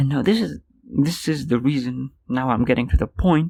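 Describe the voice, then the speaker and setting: Speaking at a moderate pace, a man uses lively intonation in a medium-pitched voice with a dark, mellow tone. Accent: non-native. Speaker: podcaster. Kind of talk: casual solo podcast monologue. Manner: animated, frustrated rant.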